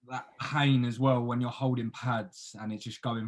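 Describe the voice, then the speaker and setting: In an English accent, a man speaks at a medium pitch with fairly even intonation. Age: 20s. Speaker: podcast host. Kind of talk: casual chat.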